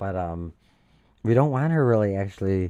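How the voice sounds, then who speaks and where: A man speaks with a dark, mellow tone. His pitch rises and falls in an ordinary way. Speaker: livestream news commentator. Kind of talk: reading aloud news article with commentary. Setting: home livestream in apartment. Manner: talking quietly.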